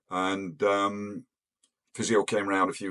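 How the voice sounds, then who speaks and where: Very deep and low, a man's voice comes through with an English accent. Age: 70s. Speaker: retired pilot. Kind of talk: personal storytelling. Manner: hesitant, many fillers.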